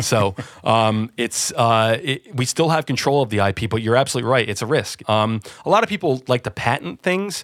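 An unremarkable speaking voice from a man with an American accent, medium pitch, lively intonation and a fairly quick pace, in a dry, close sound with no echo. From New Jersey, US. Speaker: audio company managing director. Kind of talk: interview. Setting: remote call from office.

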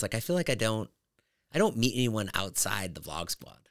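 Dry and close with no echo, the sound carries a man at a medium pitch. He talks at a moderate pace. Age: 50s. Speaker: comedian and podcast host. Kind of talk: casual chat.

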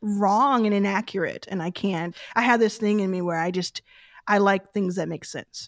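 A woman has an unremarkable speaking voice at a medium pitch and moderate pace. The recording is very clean with a silent background and a dry, close sound with no echo. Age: 30s. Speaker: venture capital investor. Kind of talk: casual chat.

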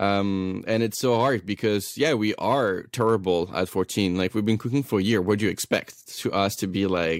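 A man with a French accent at a moderate pace, ordinary pitch variation, and a dry, close sound with no echo. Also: very clean recording, silent background. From France. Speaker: chef. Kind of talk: casual interview chat.

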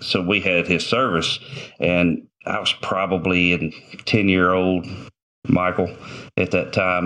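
A man speaks with an Arkansas accent. His pitch is very deep and low. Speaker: former game warden, shooting survivor. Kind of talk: interview storytelling.

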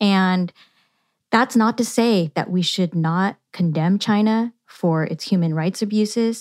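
A woman with a Californian accent, medium pitch and ordinary pitch variation at a fairly slow pace, dry and close with no echo in a very clean recording over a silent background. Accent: Californian American. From Yuba City, rural California. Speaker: political science professor. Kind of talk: interview.

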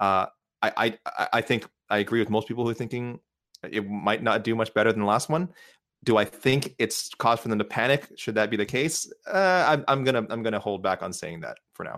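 With an unremarkable speaking voice, a man talks at a fairly quick pace and medium pitch, showing ordinary pitch variation on a very clean recording with a silent background. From Canada. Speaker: MMA reporter. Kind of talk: casual chat.

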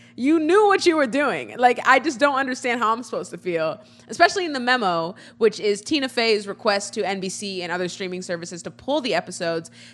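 A woman speaks at a very fast pace in a fairly high pitch with very wide pitch swings. Noticeable background noise runs underneath. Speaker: podcast co-host. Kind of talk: casual chat. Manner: loud.

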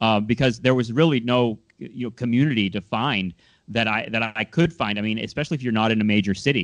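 Speaking at a fairly quick pace, a man with an American accent uses a plain, everyday voice at a medium pitch. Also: ordinary pitch variation, quiet background. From Southern California. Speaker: podcast host. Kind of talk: casual interview.

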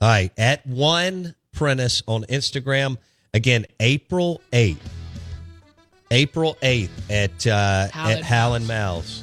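Music plays in the background while a man speaks very slowly at a medium pitch. The sound is dry and close, with no echo. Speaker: sports radio show host. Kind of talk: casual, friendly. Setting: radio studio.

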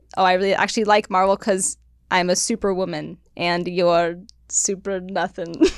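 A woman with an American accent speaks at a moderate pace and medium pitch in a monotone, flat intonation, on a very clean recording with a silent background. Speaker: podcast host. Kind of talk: casual chat.

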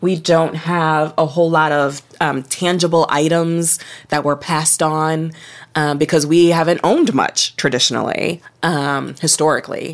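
A woman speaks in an American accent at a moderate pace. Her pitch is very deep and low, and her intonation is monotone and flat. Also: very clean recording, silent background. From Ohio, US Midwest. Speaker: author. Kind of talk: interview conversation.

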